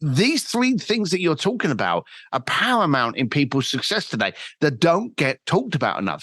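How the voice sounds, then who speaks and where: A man with a London accent at a moderate pace, very wide pitch swings, a quiet background. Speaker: entrepreneur and author. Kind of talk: podcast interview.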